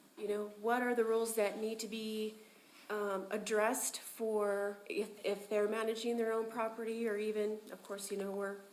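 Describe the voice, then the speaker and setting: A woman speaks in a fairly high pitch with monotone, flat intonation. Audible room echo and noticeable background noise surround her voice. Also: moderate pace. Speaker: public commenter, property manager. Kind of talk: public comment at meeting. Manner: loud.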